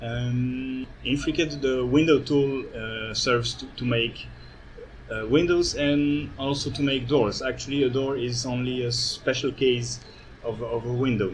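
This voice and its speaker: Audible room echo hangs around a man speaking at a fairly slow pace. His pitch is medium, and his intonation fairly even. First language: not English. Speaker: architect and software developer giving a demo. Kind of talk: conference presentation with live software demo. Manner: halting, many fillers.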